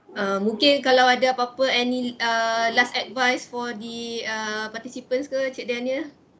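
A woman with a Malaysian accent speaks fairly slowly at a high pitch in a monotone, flat intonation, with hardly any pauses. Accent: Malaysian Malay with English code-switching. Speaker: moderator. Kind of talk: session moderation. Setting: video call. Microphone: video call.

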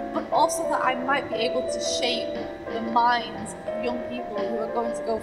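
Loud music plays in the background. Over it, a woman talks at a moderate pace. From United Kingdom. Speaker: stand-up comedian and comedy teacher. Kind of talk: interview answer. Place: waterside.

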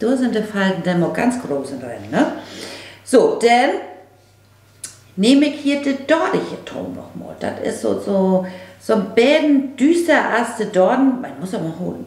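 A woman in a northern German accent speaks at a fairly slow pace with long, frequent pauses, very wide pitch swings and big swings in loudness, amid audible room echo. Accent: Low German, northern German. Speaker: makeup vlogger. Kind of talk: casual makeup tutorial talk to camera. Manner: chatty, informal. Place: home room.

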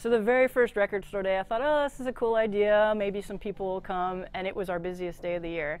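At a very fast pace, a woman with an American accent speaks at medium pitch with ordinary pitch variation, in dry sound with no echo. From Austin, Texas. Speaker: record store owner. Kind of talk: interview. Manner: frequent fillers and repetitions. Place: shop.

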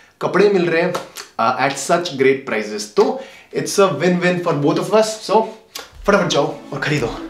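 Speaking at a fairly slow pace, a man is heard with audible room echo and light background noise. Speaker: fitness vlogger. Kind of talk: casual vlog chat.

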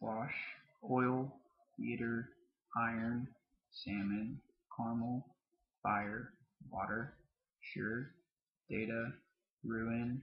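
With an American accent, a man speaks at a very slow pace in a monotone, flat intonation. Long, frequent pauses break up his speech against a quiet background. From southern Mississippi. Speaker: vlogger. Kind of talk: casual talk to camera. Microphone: webcam.

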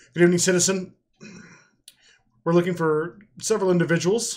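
A man puts on a raspy, high-pitched character voice and rattles along at a very fast pace. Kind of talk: role-play character dialogue. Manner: formal, authoritative.

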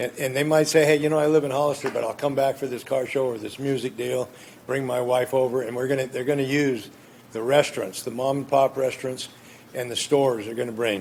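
Over noticeable background noise, a man with an American accent talks very fast at a medium pitch in a monotone, flat intonation. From California, Gilroy. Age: 70s. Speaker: appellant at city council. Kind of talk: public hearing testimony. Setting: city council chambers. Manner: loud.

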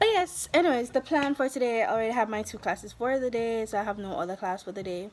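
A woman speaks over light background noise. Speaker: vlogger. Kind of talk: casual vlog chat. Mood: relaxed, cheerful. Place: home room. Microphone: phone near.

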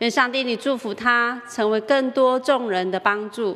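A woman talks fairly slowly while her pitch shifts in an ordinary way. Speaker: pastor leading children's Sunday school. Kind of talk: prayer and quiz for children. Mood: warm, gentle, smiling. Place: studio.

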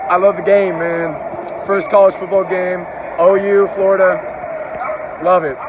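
A man with an American accent, high-pitched for a man, at a very slow pace, in a dry sound with no echo, amid noticeable background noise. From Oklahoma. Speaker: YouTuber vlogger. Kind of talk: casual vlog narration. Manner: animated.

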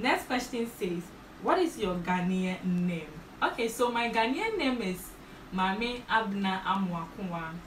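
At a fairly slow pace, a medium-pitched woman speaks with lively intonation over light background noise and audible room echo. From Ghana, Ashanti region; Ghana. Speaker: beauty YouTuber; vlogger. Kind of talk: casual vlog Q&A. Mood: cheerful, smiling.

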